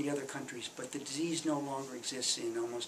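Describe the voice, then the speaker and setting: Over noticeable background noise, a man speaks in a fairly high, flat, monotone voice. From US Midwest. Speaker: retired development official. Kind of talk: oral history interview. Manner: halting, many fillers.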